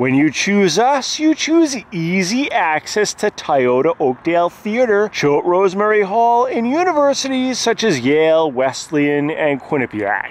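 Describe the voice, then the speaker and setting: Pitch swings very widely at a fairly slow pace. The sound is dry with no echo. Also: man. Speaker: hotel reviewer. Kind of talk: tour commentary reading website text. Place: street. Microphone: phone near.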